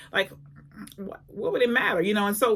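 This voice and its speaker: There's noticeable background noise behind this woman. Her medium-pitched voice shows ordinary pitch variation. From small town. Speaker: personal development coach and speaker. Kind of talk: motivational talk to camera. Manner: fast; halting, repeats words.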